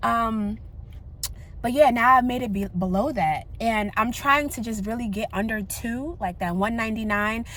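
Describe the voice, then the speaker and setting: A woman speaks in a fairly high voice with an animated tone and ordinary pitch variation. Room echo is audible. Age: 30s. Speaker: vlogger. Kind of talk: casual chat. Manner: fast.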